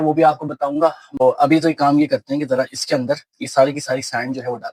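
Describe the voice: Speaking at a fairly quick pace and medium pitch, a man keeps his intonation fairly even in a dry, close recording with no echo.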